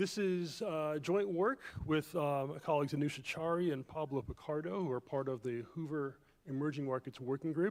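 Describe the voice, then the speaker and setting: An ordinary speaking voice with an American accent, ordinary pitch variation, and a fairly quick pace. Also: man. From Jamaica, moved to US in 1978. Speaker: economist, keynote speaker. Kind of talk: keynote lecture. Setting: conference room with audience.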